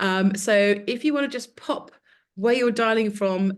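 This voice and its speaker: Using a medium pitch, a woman talks with an English Midlands accent. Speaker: webinar host, consultancy founder. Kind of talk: webinar introduction and casual chat. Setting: video call webinar. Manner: hesitant, many fillers.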